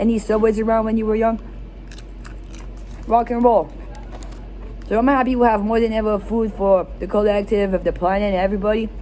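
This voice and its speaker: There is noticeable background noise, and the talking runs at a fairly quick clip. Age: 20s. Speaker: vlogger. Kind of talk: casual vlog monologue. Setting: in a fast food restaurant. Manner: halting, with repeated false starts.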